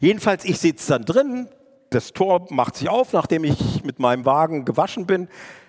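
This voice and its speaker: With an animated tone and very wide pitch swings, a high-pitched man talks at a moderate pace in a dry, close sound with no echo. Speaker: evangelist. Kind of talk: sermon.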